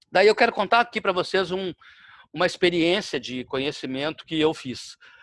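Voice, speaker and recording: A man's high voice with lively intonation at a moderate pace, dry and close with no echo, in a very clean recording with a silent background. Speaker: lecturer. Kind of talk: lecture.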